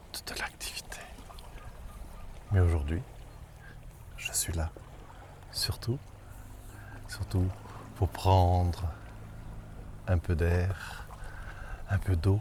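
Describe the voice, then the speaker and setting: A soft-spoken man with a very deep, low pitch and lively intonation, very slow pace and long, frequent pauses, over noticeable background noise. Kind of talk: ASMR soft-spoken talk to viewer. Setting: outdoors by the water. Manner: soft-spoken, slow.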